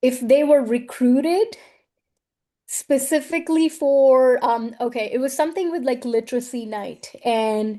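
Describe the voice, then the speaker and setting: Against a quiet background, a woman speaks at a fairly slow pace. Her high pitch has ordinary pitch variation. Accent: non-native. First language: not English. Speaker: educator and researcher. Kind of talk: interview.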